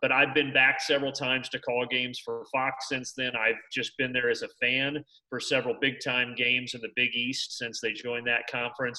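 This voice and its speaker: Speaking in a monotone, flat intonation with hardly any pauses, a man with an American accent has a bright, sharp tone and a medium pitch. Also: fairly quick pace. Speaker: sports play-by-play broadcaster. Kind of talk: interview answer.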